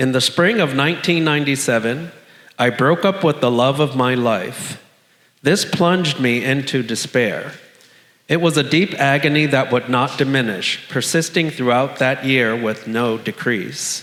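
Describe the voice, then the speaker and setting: At a fairly slow pace, a man with a medium pitch and ordinary pitch variation keeps his loudness very even, with audible room echo around him. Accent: American. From South Florida. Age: 60s. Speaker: storyteller living with HIV. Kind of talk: personal testimony read on stage.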